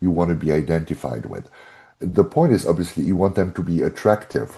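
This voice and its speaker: With a German accent, a man talks at a fairly quick pace against a quiet background, his very deep, low pitch carrying lively intonation and a dark, mellow tone. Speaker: brand strategist and author. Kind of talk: podcast interview.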